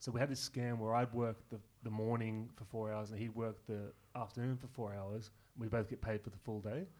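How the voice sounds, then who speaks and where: Speaking in an Australian accent, a man talks at a fairly quick pace. His pitch is medium and his intonation fairly even. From Newcastle region, New South Wales, Australia. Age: 30s. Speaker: comedian. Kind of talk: casual chat.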